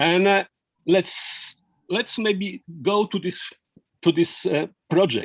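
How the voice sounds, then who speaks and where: A man with a non-native accent speaks at a very slow pace. His pitch is high. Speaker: law professor. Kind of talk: lecture. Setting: video call. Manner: halting, many fillers and repetitions.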